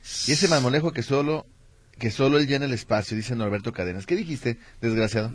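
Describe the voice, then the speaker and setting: Somewhat breathy, a man talks very fast at medium pitch with ordinary pitch variation. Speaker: radio host. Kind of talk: casual chat.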